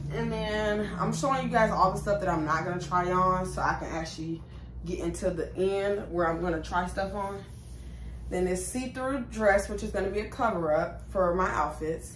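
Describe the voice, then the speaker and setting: A woman talks at a moderate pace. Room echo is audible, along with light background noise. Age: 20s. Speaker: YouTuber. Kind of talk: try-on haul vlog. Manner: casual, chatty. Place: home room. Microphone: phone near.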